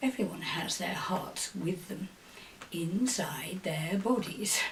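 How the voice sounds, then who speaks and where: Under light background noise, a woman performs a put-on character voice at a medium pitch and a fairly slow pace. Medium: read story. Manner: falsely polite.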